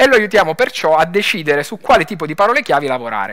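Delivered at a very fast pace with a Lombard accent, this bright, sharp voice makes very wide pitch swings over a quiet background. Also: man. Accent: Bergamo. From northern Italy, Bergamo; Italy. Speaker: tech startup founder. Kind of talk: conference talk. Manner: hesitant, many fillers. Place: stage. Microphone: headset.

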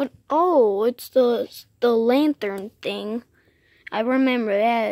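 A woman's very slow speech, dry with no echo. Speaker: home vlogger. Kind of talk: casual vlog chat. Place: garage. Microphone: phone near.

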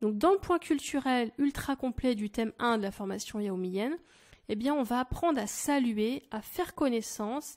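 A woman speaks at a fairly slow pace in a high voice. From France. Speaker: language teacher. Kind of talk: sales pitch. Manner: animated.

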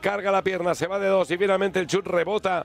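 Speaking at a high pitch, a man delivers his words in an animated tone. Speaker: football commentator. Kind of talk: live football commentary. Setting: broadcast of a match. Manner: excitable, rapid-fire.

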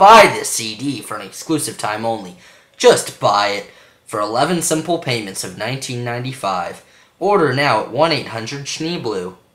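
Pitched low-to-middle, the voice keeps a fairly slow pace. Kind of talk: infomercial announcer. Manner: insistent, repetitive, salesy.

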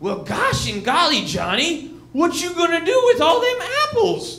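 A put-on character voice carries the delivery. It moves at a moderate pace, with audible echo around it. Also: man, extremely high pitch for a man. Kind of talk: stand-up comedy bit. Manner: folksy, exaggerated.

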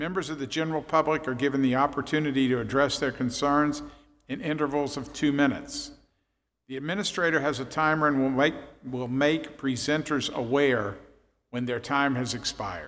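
A man's fairly quick delivery carries fairly even intonation. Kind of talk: procedural reading at public meeting. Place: hall. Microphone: podium.

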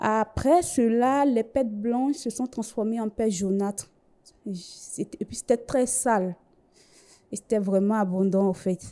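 A woman speaks very slowly in a dark, mellow tone with ordinary pitch variation over a quiet background. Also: fairly high pitch for a woman. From Côte d'Ivoire. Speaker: bank cashier giving religious testimony. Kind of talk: testimony. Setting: TV studio. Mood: earnest, recounting hardship. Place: studio. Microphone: handheld.

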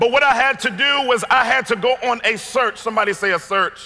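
A man's raised, projected voice at an extremely high pitch, with an American accent, ordinary pitch variation and a moderate pace. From Washington, D.C. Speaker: pastor. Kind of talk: sermon. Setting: stage with audience. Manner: animated. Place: hall. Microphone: headset.

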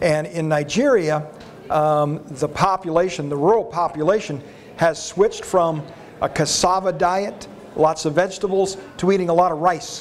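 With an American accent and a high pitch for a man, he speaks at a moderate pace with fairly even intonation over light background noise. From Arizona, US. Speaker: animal health and food safety expert; panelist. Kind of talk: panel discussion. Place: hall. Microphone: lapel.

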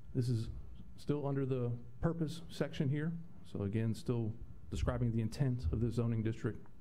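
With a dark, mellow, somewhat breathy tone, a man speaks at a moderate pace and a medium pitch with ordinary pitch variation. His loudness stays very even, and he takes long, frequent pauses. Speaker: town planning staff member. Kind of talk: presentation at a public planning board meeting. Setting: public meeting room with microphones. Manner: formal.

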